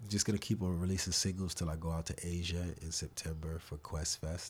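Very deep, low-pitched man's voice, somewhat breathy and monotone, fairly quick, on a very clean recording with a silent background. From New York City (Harlem). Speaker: actor and rapper. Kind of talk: casual chat.

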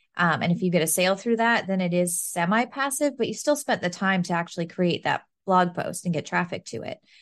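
An unremarkable speaking voice from a woman at medium pitch, fairly quick with hardly any pauses and lively intonation, over a quiet background. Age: 30s. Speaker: business and marketing coach. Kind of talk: casual interview chat.

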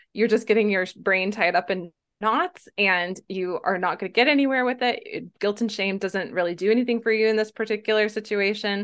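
A woman's plain, everyday voice, fairly quick, with fairly even intonation. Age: 40s. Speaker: health and wellness coach. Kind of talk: interview.

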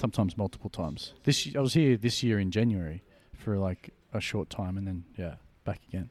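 There's a man in a normal speaking voice, fairly low in pitch, talking at a fairly quick pace. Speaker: podcast host. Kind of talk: casual interview chat. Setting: in an apartment.

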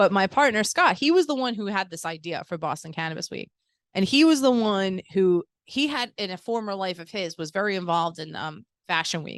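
A woman with an ordinary speaking voice talks at a fairly quick pace with lively intonation. Her loudness swings widely. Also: medium pitch for a woman, dry, close sound with no echo, quiet background. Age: 40s. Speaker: cannabis event organizer. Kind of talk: casual chat. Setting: dispensary venue.

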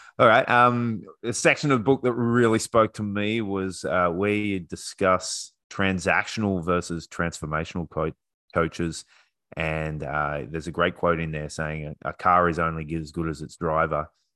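On a very clean recording with a silent background, a man in an Australian accent speaks at a moderate pace with a very deep, low pitch, ordinary pitch variation and a bright, sharp tone. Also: dry, close sound with no echo. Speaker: podcast host. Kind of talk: casual interview chat.

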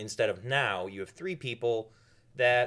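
A man with a Midwestern American accent sounds animated, with ordinary pitch variation. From US Midwest (northeast Ohio, Cleveland area). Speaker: local political organizer. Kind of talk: casual chat. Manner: jokey, animated.

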